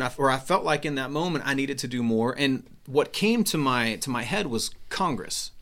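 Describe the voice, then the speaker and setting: A man with an American accent and a bright, sharp tone talks at a fairly quick pace with fairly high pitch and lively intonation. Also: very clean recording, silent background. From Texas, Houston area. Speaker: congressional candidate. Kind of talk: interview. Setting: studio. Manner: halting, many fillers.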